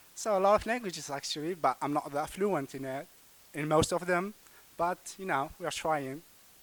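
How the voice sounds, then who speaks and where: Ordinary pitch variation and a moderate pace in a man's fairly high voice. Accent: Algerian. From Kabylie, Algeria. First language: Kabyle. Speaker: language student. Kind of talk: casual group interview. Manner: hesitant, many fillers.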